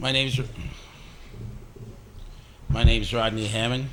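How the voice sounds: Slow speech from a man at medium pitch, bright and sharp in tone, with little pitch movement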